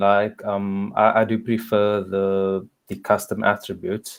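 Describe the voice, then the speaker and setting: Over a quiet background, a man with a South African accent speaks at a fairly slow pace. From South Africa, Cape Town. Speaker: software tester. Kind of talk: casual chat. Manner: halting. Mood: calm, thoughtful opinion. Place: home room. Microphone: video call.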